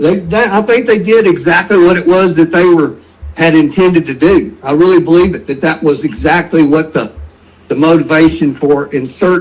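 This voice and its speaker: A man speaks with a Memphis accent. His pace is moderate and his pitch varies in an ordinary way. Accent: Southern US (Memphis). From Memphis, Tennessee (US South). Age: 70s. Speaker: caller. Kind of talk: call-in conversation.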